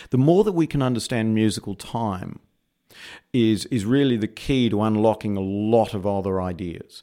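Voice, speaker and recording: This man has a dark, mellow tone at medium pitch and an Australian accent. His pitch varies in an ordinary way, and the recording is very clean with a silent background. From Perth, Western Australia. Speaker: AI research engineer. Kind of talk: interview. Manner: hesitant, filler words.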